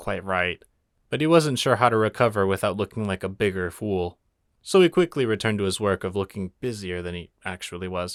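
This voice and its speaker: Captured on a very clean recording with a silent background and a dry, close sound with no echo, a man uses a plain, everyday voice, fairly low in pitch with ordinary variation. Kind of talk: audiobook reading of fan fiction. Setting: home studio with acoustic foam.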